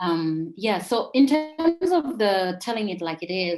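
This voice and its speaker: A woman speaks with a Malawian accent. Her pace is fairly slow. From Zambia (Lusaka). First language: Tumbuka. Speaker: poet and author. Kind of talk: interview. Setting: live video chat. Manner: hesitant, many fillers.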